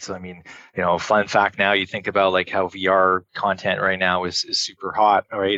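Speaking fast with a Montreal accent, a man has a very deep, low pitch and a bright, sharp tone. His intonation is fairly even, and the sound is dry and close with no echo. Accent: Canadian English (Montreal). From Montreal, Quebec, Canada. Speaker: entrepreneur. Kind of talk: casual interview.

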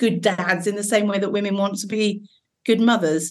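A woman with an English accent, medium pitch and fairly even intonation. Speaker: safeguarding doctor and GP. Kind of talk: casual chat.

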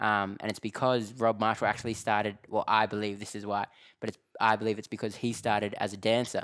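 Someone with an Australian accent speaks at a very fast pace in a monotone, flat intonation. The recording is very clean, with a silent background. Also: man, fairly low pitch for a man. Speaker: dancer and actor. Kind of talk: casual interview. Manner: relaxed, laughs often.

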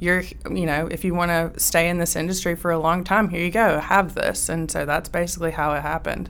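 A woman's fairly low-pitched voice with a Southern US accent. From US South, rural Georgia. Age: young. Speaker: business owner, equipment dealer. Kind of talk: interview. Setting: studio.

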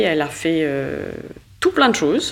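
This woman's voice sits at a very deep, low pitch. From Mauritius and Canada. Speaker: managing director and artist. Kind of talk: interview conversation. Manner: hesitant.

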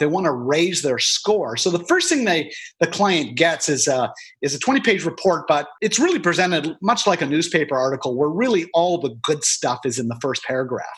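A man with a fairly high pitch and a Canadian accent, animated in tone, with lively intonation at a moderate pace. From Canada. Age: 50s. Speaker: author and public speaker on family wealth succession. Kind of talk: interview.

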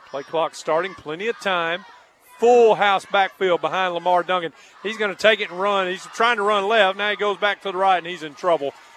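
Over noticeable background noise, a man speaks fairly quickly in a high pitch with fairly even intonation. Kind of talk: live play-by-play football commentary. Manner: homespun and folksy, stumbling over words.

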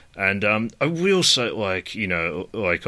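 Speaking with an Australian accent, a man has a bright, sharp tone and ordinary pitch variation. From Australia, New South Wales. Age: 30s. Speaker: podcast host. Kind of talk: casual chat.

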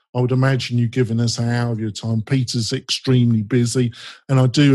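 The voice has an English accent and a dark, mellow, somewhat breathy tone. It moves at a fairly quick pace with fairly even intonation. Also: man. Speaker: podcast host. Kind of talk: casual interview.

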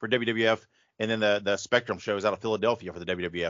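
Talking fairly quickly, a man speaks with an American accent. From Indiana, US Midwest. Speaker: podcast host. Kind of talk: casual interview chat. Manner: hesitant, many fillers.

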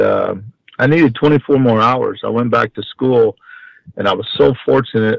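In an American accent, a man with an ordinary speaking voice talks at a moderate pace and medium pitch. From Texas, Houston. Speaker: college baseball head coach. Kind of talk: interview.

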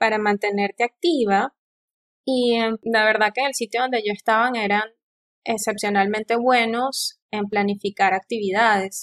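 A woman speaks in a normal speaking voice at a fairly high pitch and moderate pace, the sound dry and close with no echo. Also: fairly even intonation. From eastern Venezuela, El Tigre. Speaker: geoscientist and doctoral student. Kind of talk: interview.

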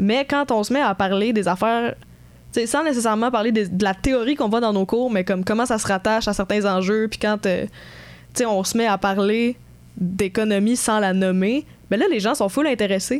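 At a moderate pace and very even loudness, a woman speaks with a fairly high pitch and ordinary pitch variation. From Quebec, Sherbrooke. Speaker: economics student podcaster. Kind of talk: casual chat.

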